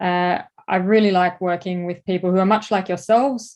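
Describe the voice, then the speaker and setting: In an Australian accent, a woman speaks at a medium pitch with fairly even intonation against a quiet background. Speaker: advertising creative director and course instructor. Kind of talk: lecture.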